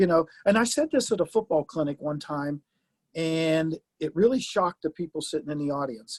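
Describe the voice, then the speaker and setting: A man with a plain, everyday voice, fairly high pitch, lively intonation and a moderate pace, in a dry, close recording with no echo. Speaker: retired football coach. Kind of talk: casual interview chat.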